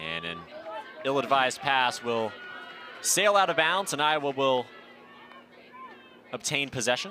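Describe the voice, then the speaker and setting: Over noticeable background noise, a man with a fairly high voice swings his pitch very widely and leaves long, frequent pauses. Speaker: sports broadcaster, play-by-play announcer. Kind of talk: TV field hockey play-by-play. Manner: energetic, fast.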